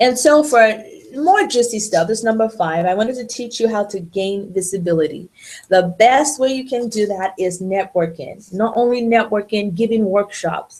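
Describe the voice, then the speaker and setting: At a moderate pace, a woman speaks in a normal speaking voice with a fairly high pitch and ordinary pitch variation. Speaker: lawyer running a webinar. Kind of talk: webinar presentation. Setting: online webinar.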